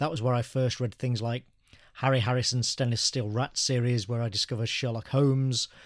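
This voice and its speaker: Speaking at a fairly quick pace, a man with an English Midlands accent uses a medium pitch and a monotone, flat intonation. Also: very clean recording, silent background. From English Midlands (Birmingham area). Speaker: graphic novelist and writer. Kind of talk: interview.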